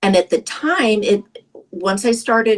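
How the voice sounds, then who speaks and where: The pace here is fairly slow. An unremarkable speaking voice shows ordinary pitch variation. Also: woman. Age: 60s. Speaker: product user sharing success story. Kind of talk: testimony.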